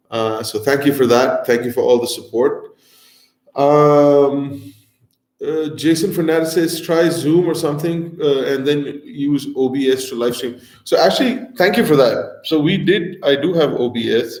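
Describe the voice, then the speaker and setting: There is audible room echo as a man speaks at a fairly slow pace. His pitch is fairly high, with ordinary variation. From North India, Delhi. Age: 40s. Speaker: food and travel show host. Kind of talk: live stream Q&A chat. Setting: live stream. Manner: casual, many fillers.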